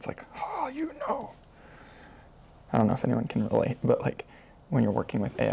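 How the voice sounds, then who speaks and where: Noticeable background noise is present. A man talks over it at a moderate pace. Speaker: software developer vlogger. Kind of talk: casual coding livestream. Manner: filler-heavy, casual.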